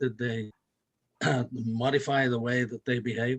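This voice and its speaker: A man in an English accent, medium pitch, moderate pace and flat, monotone intonation, in a dry, close sound with no echo. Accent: English, some. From northern England, North Yorkshire. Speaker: audience member asking questions. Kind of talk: Q&A question.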